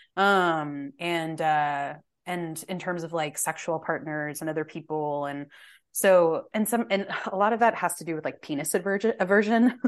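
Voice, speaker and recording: In an American accent, a woman uses an ordinary speaking voice with a fairly low pitch, ordinary pitch variation and a moderate pace, over a quiet background. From Texas. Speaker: podcast guest. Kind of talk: casual chat.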